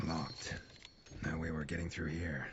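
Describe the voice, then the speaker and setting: Putting on a raspy character voice, a man speaks very deep and low in a flat monotone at a moderate pace, his tone calm over clear background noise. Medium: video game. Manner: calm, matter-of-fact.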